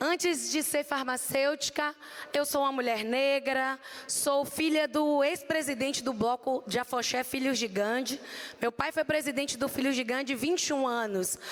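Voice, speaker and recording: In a Bahian accent, a woman speaks at a high pitch with very even loudness and fairly even intonation. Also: moderate pace. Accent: Bahian accent (from Salvador), noticeable. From Brazil, Salvador, Bahia. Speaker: pharmacist. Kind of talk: conference talk. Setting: stage with audience at expo.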